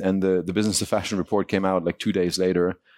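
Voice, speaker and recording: A man speaks with a German accent and fairly even intonation. The recording is very clean with a silent background and a dry, close sound with no echo. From Germany. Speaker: e-commerce CEO. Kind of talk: panel discussion.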